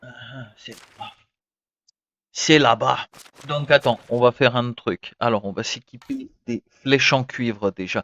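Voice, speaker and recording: A man speaks very slowly at medium pitch with ordinary pitch variation. The sound is dry and close with no echo, and the background is quiet. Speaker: gaming streamer. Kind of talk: live gameplay commentary. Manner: animated; whispering at times.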